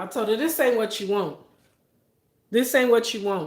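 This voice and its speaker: Her voice is fairly high-pitched, this woman speaking with lively intonation. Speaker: food reviewer and livestreamer. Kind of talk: casual livestream chat. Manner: animated.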